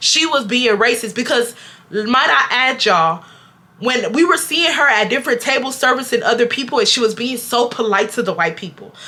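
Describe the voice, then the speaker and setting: With noticeable background noise behind her, a woman speaks fairly quickly in a high pitch. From Houston, Texas. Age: 20s. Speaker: YouTuber, storyteller. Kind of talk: storytime talk to camera. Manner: casual, animated.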